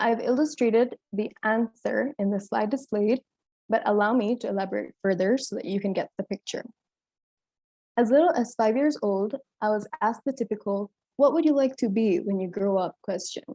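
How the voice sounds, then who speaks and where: With a dark, mellow tone and a fairly high pitch, a woman speaks at a moderate pace with ordinary pitch variation, her sound dry and close with no echo. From Kenya, Mombasa coast; part of childhood in South Africa. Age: 20s. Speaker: medical student. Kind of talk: prepared presentation. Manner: formal.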